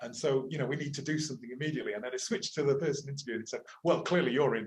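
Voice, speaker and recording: A man speaks very fast with an English accent. His voice is fairly high, and its pitch varies an ordinary amount. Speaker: university lecturer and climate activist. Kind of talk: interview conversation. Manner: hesitant, with repetitions.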